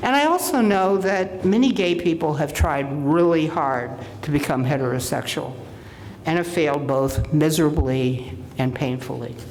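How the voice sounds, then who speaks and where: With audible room echo and noticeable background noise, a woman talks at a moderate pace in a very deep, low pitch, with lively intonation. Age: 70s. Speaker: minister. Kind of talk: sermon.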